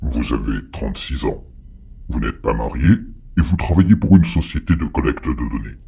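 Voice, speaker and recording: A man speaks at a moderate pace in a put-on character voice, leaving long, frequent pauses. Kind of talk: menacing audio drama villain. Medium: audio drama. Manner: formal, measured, icily polite.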